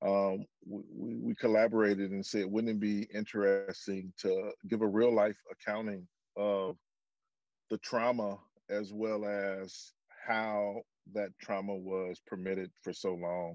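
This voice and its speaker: A man at a fairly slow pace, monotone and flat, dry with no echo, over a quiet background. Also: fairly low pitch for a man. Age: 50s. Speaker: former football player and activist. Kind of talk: testimony. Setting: video call. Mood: earnest, committed. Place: car. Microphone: video call.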